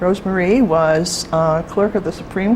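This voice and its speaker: The woman's fairly slow speech, with ordinary pitch variation, comes through noticeable background noise. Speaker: oral history interviewer. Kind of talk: interview questions.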